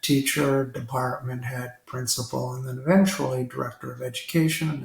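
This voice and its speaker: Noticeable background noise sits behind this man's voice. He speaks at a medium pitch and a moderate pace, with fairly even intonation. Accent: Ontario. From Toronto, Canada. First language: Italian. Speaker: retired school district director. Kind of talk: interview conversation.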